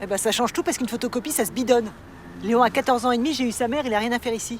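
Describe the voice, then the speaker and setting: On a very clean recording with a silent background, a man speaks at a very fast pace with extremely high pitch and fairly even intonation. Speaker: actor (comédien). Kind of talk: dramatic dialogue, TV drama scene.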